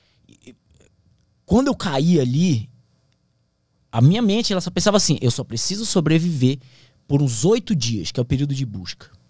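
Somewhat breathy, the voice moves at a moderate pace with very wide pitch swings. The sound is dry with no echo, and the background is quiet. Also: man. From Brazilian Amazon. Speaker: pilot and plane crash survivor. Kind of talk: casual interview. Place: studio. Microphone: studio mic.

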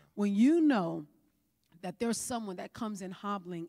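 An American-accented woman speaks at a moderate pace in an animated tone. The background is quiet. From New York. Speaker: pastor. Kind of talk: sermon. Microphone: handheld.

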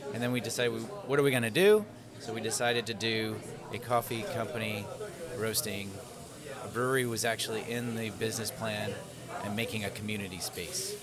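Against loud background noise, a man talks at a fairly quick pace. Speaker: guest. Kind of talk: interview answer. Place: cafe. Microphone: studio mic.

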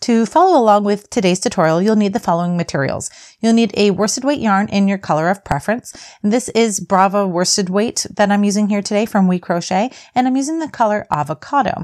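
Over a quiet background, a woman talks at a very fast pace with ordinary pitch variation. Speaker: crochet teacher. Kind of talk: tutorial.

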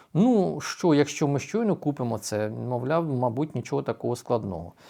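With a dark, mellow tone and a fairly high pitch, a man speaks at a moderate pace, his pitch swinging very widely over a very clean recording with a silent background. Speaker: news commentator, YouTube channel host. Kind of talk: news commentary monologue.

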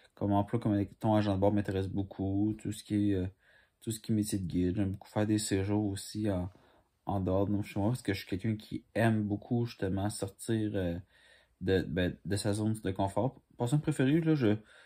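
A man with a Quebec accent talks at a moderate pace against a quiet background. His fairly low voice has a dark, mellow tone and fairly even intonation. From Quebec, Montreal. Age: 20s. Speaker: commercial auditionee; candidate. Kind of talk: audition self-presentation. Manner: halting. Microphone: phone near.

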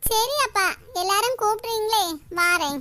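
In a cartoonish character voice, a woman squeaks at an extremely high pitch, with lively intonation and a fairly slow pace. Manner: casual, tag word 'paaru'.

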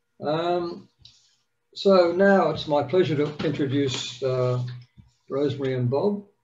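A man with an Australian accent at a fairly high pitch, ordinary pitch variation, a fairly slow pace with long, frequent pauses, and light background noise. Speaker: yacht club meeting chair. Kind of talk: meeting announcements and introduction. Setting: video call. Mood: warm, friendly. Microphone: video call.

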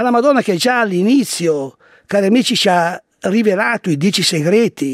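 With a high pitch and lively intonation, a man speaks in a solemn tone at very even loudness. The sound is dry with no echo, and the background is quiet. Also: moderate pace. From Italy. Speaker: radio host and priest. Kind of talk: religious radio talk, preacher rant on Satan and war. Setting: radio studio. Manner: emphatic, urgent, solemn. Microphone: studio mic.

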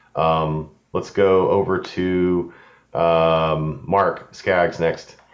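Against a quiet background, the speech comes with an American accent. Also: man. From Austin, Texas. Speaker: music software trainer, meetup co-host. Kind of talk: casual online meetup chat. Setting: video call. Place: home room. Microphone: video call.

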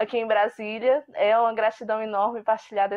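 A woman speaking at a fairly quick pace. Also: quiet background. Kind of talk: recorded congratulatory testimony. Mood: warm, grateful.

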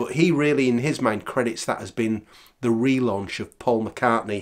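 This man speaks at medium pitch and a moderate pace, with ordinary pitch variation.

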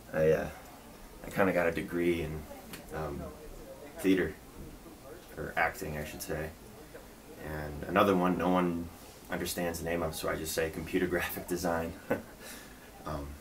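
In a very deep, low voice, a man speaks at a moderate pace with monotone, flat intonation and long, frequent pauses. Light background noise is present. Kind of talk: casual role-play conversation. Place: home room. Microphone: webcam.

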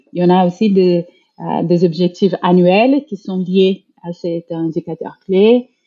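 This woman speaks at a very slow pace with a Brazilian accent. Her pitch is medium, with ordinary variation. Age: 40s. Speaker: HR director. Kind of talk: interview, casual chat. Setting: video call.

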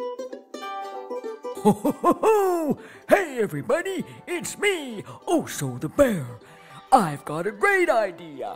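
Clear music plays in the background. Over it comes a put-on character voice at a very slow pace. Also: woman. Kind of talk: children's story character voice. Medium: read story.

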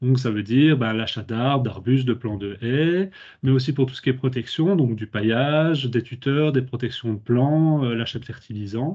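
A man talks at a moderate pace with ordinary pitch variation against a quiet background. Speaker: public administration official. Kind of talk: webinar presentation. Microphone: laggy connection; video call.

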